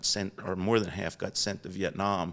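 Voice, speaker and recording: A man with a Philadelphia accent speaks in a very deep, low pitch. His intonation is monotone and flat, on a very clean recording with a silent background. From Philadelphia area, Delaware County. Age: 70s. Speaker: business founder. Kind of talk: interview storytelling.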